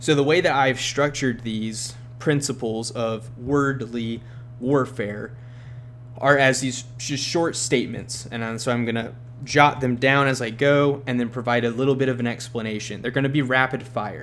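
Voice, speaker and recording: In a room with audible echo, a man speaks at a moderate pace with a medium pitch and monotone, flat intonation. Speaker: bible teacher. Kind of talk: bible study lecture.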